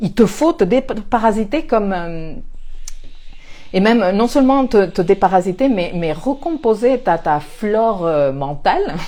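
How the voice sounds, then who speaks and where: With a dark, mellow tone, a woman speaks fairly slowly at a medium pitch, her voice swinging very widely in pitch. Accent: non-native. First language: not French (speaking French). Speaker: astrologer and life coach. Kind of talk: spiritual talk to camera. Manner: hesitant, many fillers and repetitions.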